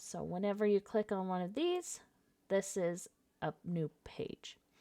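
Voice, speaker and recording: A woman speaks with an ordinary speaking voice at medium pitch and a fairly slow pace. The recording is very clean, and the background is silent. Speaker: software tutorial presenter. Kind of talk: screen-recorded software tutorial.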